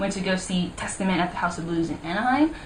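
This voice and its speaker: Speaking at a very fast pace, a woman has a fairly low pitch. Noticeable background noise and audible room echo fill the recording. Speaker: YouTuber. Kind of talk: casual vlog. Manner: animated.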